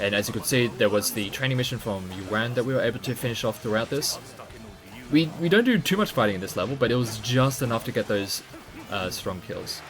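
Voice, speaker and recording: Music plays in the background as a man with an Australian accent speaks at a fairly quick pace. His pitch is medium, with ordinary pitch variation. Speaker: video game speedrunner streamer. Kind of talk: live gameplay commentary. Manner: casual, filler-heavy explanatory.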